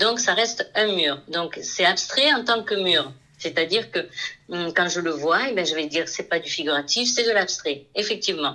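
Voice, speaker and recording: Against noticeable background noise, a woman with a medium pitch talks at a moderate pace with lively intonation. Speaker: painter. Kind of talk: interview.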